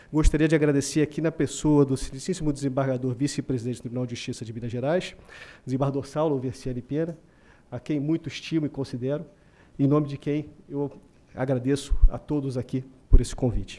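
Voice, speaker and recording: The voice has a dark, mellow tone and moves at a very fast pace. Its intonation stays fairly even. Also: man, fairly high pitch for a man. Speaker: legal speaker at book launch. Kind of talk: formal lecture. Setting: auditorium with audience. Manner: quiet, self-corrected; hesitant, many fillers.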